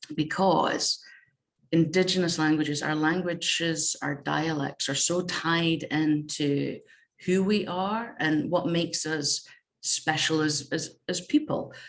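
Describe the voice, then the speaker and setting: A woman speaks with a northeast Scottish accent. Her pace is fairly slow, with ordinary pitch variation. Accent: northeast Scottish (Doric). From northeast Scotland. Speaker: games researcher and game jam organiser. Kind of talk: conference presentation.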